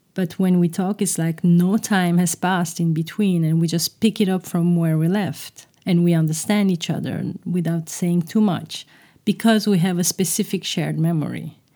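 Her tone dark and mellow, a woman speaks at a fairly low pitch and moderate pace, her intonation monotone and flat and her loudness very even. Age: 40s. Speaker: podcast host. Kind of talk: reflective monologue.

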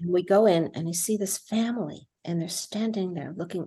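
Her voice fairly low, somewhat breathy and dark and mellow in tone, a woman with an American accent talks at a fairly quick pace with ordinary pitch variation. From New Jersey. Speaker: film director and producer. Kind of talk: casual interview.

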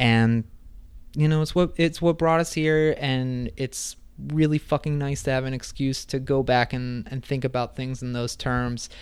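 A man with an unremarkable speaking voice, medium pitch and fairly even intonation, at a fairly slow pace, on a very clean recording with a silent background. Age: 30s. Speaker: podcast co-host. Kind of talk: casual chat.

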